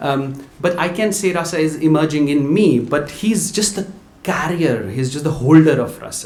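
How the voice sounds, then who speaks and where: Speaking with ordinary pitch variation, a man has a fairly high pitch. There is noticeable background noise and audible room echo. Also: moderate pace. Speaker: visiting lecturer. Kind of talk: lecture. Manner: halting.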